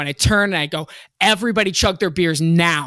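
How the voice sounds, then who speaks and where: An ordinary speaking voice from a woman of fairly low pitch, with lively intonation, a moderate pace and a very clean recording against a silent background. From Virginia (Hampton). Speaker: rock band singer. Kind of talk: casual chat.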